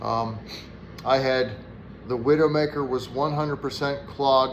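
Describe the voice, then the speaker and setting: With an American accent and a medium pitch, a man talks at a fairly slow pace with fairly even intonation, and audible room echo surrounds his voice. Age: 60s. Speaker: firewood vlogger. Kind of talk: personal health talk to camera. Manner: casual, with frequent fillers.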